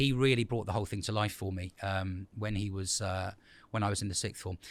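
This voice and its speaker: On a very clean recording with a silent background, a man talks at a fairly quick pace in a southern English accent. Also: fairly low pitch for a man, fairly even intonation. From England, Ipswich (Suffolk). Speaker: school principal. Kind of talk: interview. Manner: hesitant with fillers.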